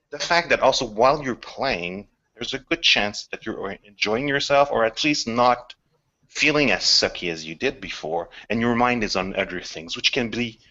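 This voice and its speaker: A man speaks at a medium pitch with a French accent. His intonation is lively and his pace moderate. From Quebec. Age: 40s. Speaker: video game scriptwriter. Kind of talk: casual chat. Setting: video call.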